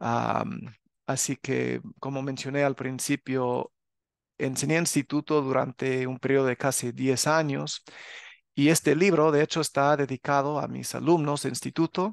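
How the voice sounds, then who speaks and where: A man with an ordinary speaking voice and a fairly high pitch talks at a fairly slow pace, with a dry, close sound with no echo and a quiet background. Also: fairly even intonation. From US, Los Angeles area (California). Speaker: religious teacher and author. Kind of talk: religious channel talk to viewers. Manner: casual with filler sounds.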